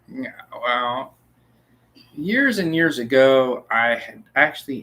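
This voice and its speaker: The speaker is a man with an American accent. His medium-pitched voice has a bright, sharp tone. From United States. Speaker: truck driver. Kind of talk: casual chat. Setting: livestream.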